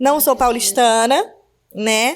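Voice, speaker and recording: A woman with an Alagoas accent and a high pitch, at a fairly slow pace, on a very clean recording with a silent background. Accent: northeastern Brazilian (Alagoas). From Northeast Brazil, Maceió, Alagoas. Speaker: podcast host, businesswoman and mother. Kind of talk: casual podcast chat.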